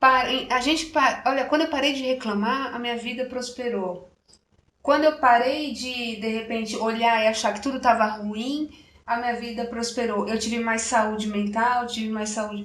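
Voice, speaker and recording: A woman with a rural Brazilian accent speaks at a moderate pace and a fairly high pitch. Her intonation is fairly even, and audible room echo surrounds her. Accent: Brazilian countryside. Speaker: chromotherapy speaker and radio presenter. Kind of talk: interview conversation.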